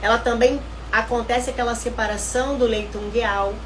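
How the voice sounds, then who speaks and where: Noticeable background noise and audible room echo are present. The speaker goes along fairly slowly. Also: woman. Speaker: nutritionist. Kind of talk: live online class.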